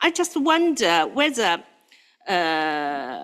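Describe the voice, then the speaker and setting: A woman speaks with a non-native accent and very wide pitch swings. The recording is very clean, with a silent background. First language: not English. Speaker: standards board member. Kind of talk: committee meeting discussion. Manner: halting, many fillers.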